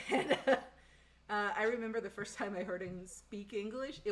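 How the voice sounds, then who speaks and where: Over noticeable background noise, a woman with a Spanish accent speaks at a moderate pace in a fairly high pitch, her tone animated and her intonation lively. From northern Mexico. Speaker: streamer and content creator. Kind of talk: casual chat on a cooking livestream. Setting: home kitchen livestream.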